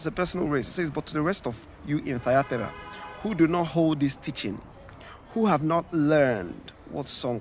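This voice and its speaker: Speaking at a moderate pace with ordinary pitch variation, a man comes through dry and echo-free over light background noise. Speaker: preacher. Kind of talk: scripture reading with sermon commentary. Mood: earnest, warning tone. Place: open country. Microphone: phone near.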